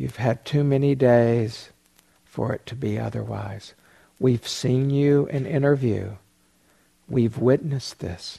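Speaking very slowly with long, frequent pauses, a man uses a medium pitch with ordinary pitch variation and a dark, mellow, somewhat breathy voice in a soothing, gentle tone. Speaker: meditation teacher. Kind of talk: guided meditation. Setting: meditation retreat hall. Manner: slow, soothing; soft, gentle pacing with pauses.

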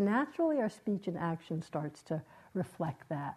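A woman talks at a moderate pace in a dark, mellow tone. Her pitch swings very widely. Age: 70s. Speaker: meditation teacher. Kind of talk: dharma talk. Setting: meditation retreat with audience.

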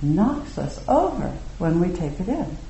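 A woman at a fairly slow pace with lively intonation, amid noticeable background noise. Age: 60s. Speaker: meditation teacher. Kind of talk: dharma talk. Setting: meditation hall with audience.

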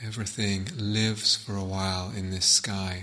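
A man speaks at a fairly slow pace in a fairly low pitch, his calm, gentle tone held in a monotone, flat intonation over noticeable background noise. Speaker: meditation teacher. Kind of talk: guided meditation. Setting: retreat hall, guiding a group. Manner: slow, calm, soft-spoken, with long pauses; gentle, unhurried, hushed.

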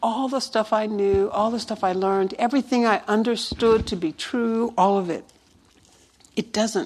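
Using a normal speaking voice, a woman talks at a moderate pace with a fairly high pitch and ordinary pitch variation. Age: 60s. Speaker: meditation teacher. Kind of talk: dharma talk.

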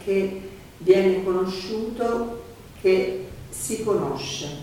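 Calm in tone, a woman at medium pitch speaks with fairly even intonation over noticeable background noise. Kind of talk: guided meditation, consecutive Italian interpreting. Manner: calm, measured, soft-spoken, gently paced, echoing the teacher's phrases.

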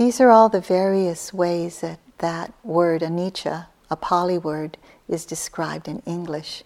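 In a plain, everyday voice, a woman talks at a fairly slow pace with a fairly low pitch, ordinary pitch variation and big swings in loudness. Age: 60s. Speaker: meditation teacher. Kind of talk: dharma talk. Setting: meditation hall with retreat audience.

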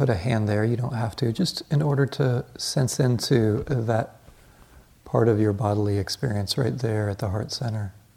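Somewhat breathy and dark, mellow in tone, a man talks with ordinary pitch variation. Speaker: meditation teacher. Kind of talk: guided meditation; dharma talk. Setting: meditation retreat hall, live group. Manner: soft-spoken, reflective, with hesitant fillers.

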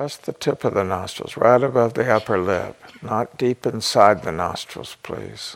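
A man speaks at a fairly slow pace in a gentle, calm tone with vocal fry. His pitch is fairly low, with ordinary variation. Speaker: meditation teacher. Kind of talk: guided meditation. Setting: meditation retreat. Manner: slow, calm, soothing; gentle, with long pauses.

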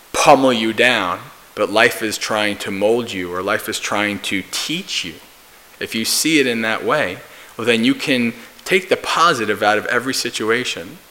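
A man at medium pitch with an American accent and ordinary pitch variation, amid noticeable background noise. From US, New Jersey. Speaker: Buddhist monk and meditation teacher. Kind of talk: dharma talk.

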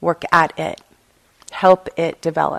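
In a quiet background with a dry, close sound and no echo, a woman speaks at a fairly low pitch in an unremarkable speaking voice. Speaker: meditation teacher. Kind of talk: guided meditation; dharma talk. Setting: meditation retreat hall with students. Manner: slow, soft and soothing, with long pauses; casual, candid and reflective.

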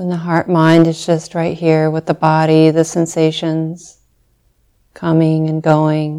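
Very deep and low, a woman's voice with a dark, mellow tone moves at a very slow pace. Her intonation is monotone and flat, on a very clean recording with a silent background. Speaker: meditation teacher. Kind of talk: guided meditation, gentle spoken body-awareness instructions. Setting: meditation center hall. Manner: slow, soft-spoken, long silences between short phrases; tender, invitational, posing quiet rhetorical questions.

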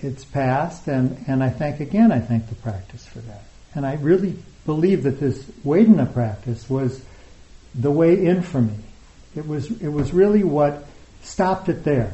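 At a moderate pace, a somewhat breathy man with a fairly high pitch talks with lively intonation and big swings in loudness. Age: 60s. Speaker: meditation teacher. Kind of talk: dharma talk. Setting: retreat hall with live audience.

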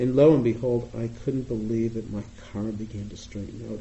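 A man with an American accent speaks at a medium pitch and moderate pace. His voice is somewhat breathy, with monotone, flat intonation. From US Northeast, Boston. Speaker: meditation teacher. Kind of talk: dharma talk. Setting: meditation retreat with audience.

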